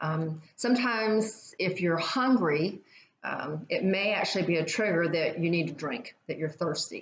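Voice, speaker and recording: Her voice fairly low in pitch and somewhat breathy, a woman talks with lively intonation. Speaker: fitness instructor. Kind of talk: guided exercise class.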